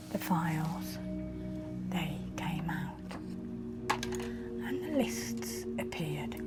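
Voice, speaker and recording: Someone whispers soft-spoken words at a very slow pace while music plays in the background. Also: woman. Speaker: ASMR artist. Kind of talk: ASMR sleep guidance. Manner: soft-spoken, slow; whispered.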